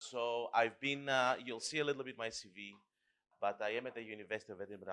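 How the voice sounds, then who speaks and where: Speaking at a very fast pace, a man with a medium pitch and a bright, sharp tone uses ordinary pitch variation. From Greece. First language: Greek. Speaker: professor. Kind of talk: lecture. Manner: interactive, questioning audience.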